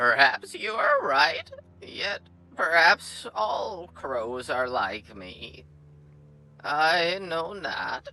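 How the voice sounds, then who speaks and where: A man's put-on character voice, guttural and fairly high-pitched, at a very slow pace. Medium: read story. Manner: ominous, slow, repetitive.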